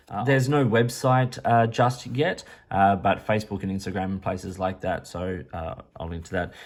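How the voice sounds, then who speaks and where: On a very clean recording with a silent background, a man with an Australian accent speaks at a fairly low pitch and moderate pace, with ordinary pitch variation. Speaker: pen reviewer. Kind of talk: product review. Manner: casual, hesitant with fillers.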